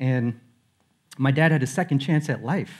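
Ordinary pitch variation marks this man's speech. Behind him, the background stays quiet. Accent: American. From Queens, New York. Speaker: senior music producer at a security company, former music video director. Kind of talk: conference talk, personal story. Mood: reflective, personal. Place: stage. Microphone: headset.

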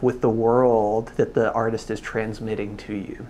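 The intonation is fairly even throughout. The speaker is a man. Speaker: photobook reviewer. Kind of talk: reflective commentary. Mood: calm, thoughtful.

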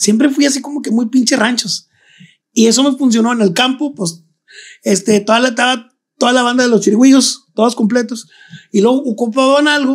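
At a fairly quick pace, a man speaks with an extremely high pitch and fairly even intonation. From Monterrey, northern Mexico. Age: 40s. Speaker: children's clown. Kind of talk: casual chat.

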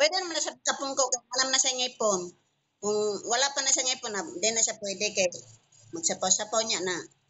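A woman speaks high, with very wide pitch swings, at a fairly quick pace. Her speech is broken by long, frequent pauses. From Visayas, Philippines. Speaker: vlogger mother. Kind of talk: casual family vlog chat. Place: home room. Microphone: video call.

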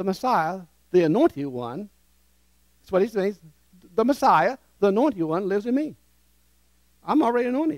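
A high-pitched man with a warm, animated tone and very wide pitch swings, fairly quick in pace yet marked by long, frequent pauses, in a dry sound with no echo against a quiet background. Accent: American. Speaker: preacher. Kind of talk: sermon with call-and-response. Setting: church with congregation. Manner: animated, interactive, leads the congregation in repeating phrases; warm, urgent, exhorting. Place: church. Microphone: headset.

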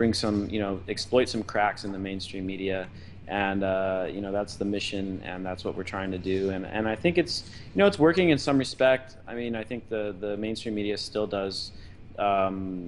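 A man with a plain, everyday voice, fairly low in pitch, with ordinary pitch variation and a moderate pace over light background noise. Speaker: podcast guest. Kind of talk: interview answer. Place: home room. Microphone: video call.

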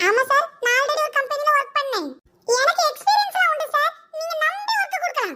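Put-on character voice, extremely high in pitch, at a moderate pace.

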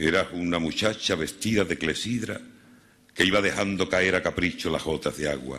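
A man's very deep, low pitch with vocal fry, a bright, sharp tone, a dramatic tone, ordinary pitch variation and a moderate pace. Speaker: Holy Week orator. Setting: stage with audience. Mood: solemn, lyrical. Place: stage. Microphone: podium.

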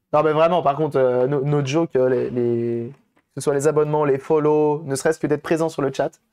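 A man with a fairly high pitch speaks in a monotone, flat intonation at a moderate pace. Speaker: repair streamer. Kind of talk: live stream tutorial, casual repair demo. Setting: live stream to chat. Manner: casual, hesitant with fillers.

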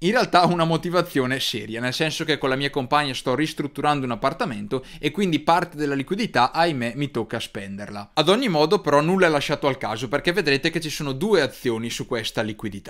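Over a quiet background, a man with a fairly high pitch talks at a very fast pace with lively intonation. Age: 20s. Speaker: finance youtuber. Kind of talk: tutorial. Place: studio. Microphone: studio mic.

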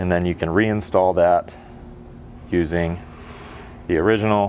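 Light background noise sits behind a man whose pitch is very deep and low. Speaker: installer demonstrating a product. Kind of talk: tutorial. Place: garage.

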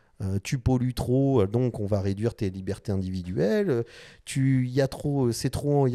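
Lively intonation and a dark, mellow tone mark a man's speech over a quiet background. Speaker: designer and YouTuber; YouTuber. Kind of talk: casual vlog monologue. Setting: design studio. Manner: animated, hesitant with many fillers. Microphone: studio mic.

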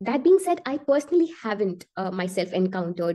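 A woman's voice swings very widely in pitch at a moderate pace over a quiet background. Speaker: remote guest. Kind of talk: interview answer. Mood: thoughtful, mildly worried. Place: home room. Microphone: video call.

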